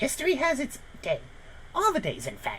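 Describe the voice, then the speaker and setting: Against clear background noise, a gravelly, put-on character voice comes through. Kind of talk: comic overacting. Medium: actual play.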